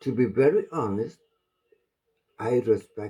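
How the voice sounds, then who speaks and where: Somewhat breathy and dark, mellow in tone, a man speaks very slowly with very wide pitch swings. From Malaysia. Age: 70s. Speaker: vlogger. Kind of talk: opinion monologue. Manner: halting.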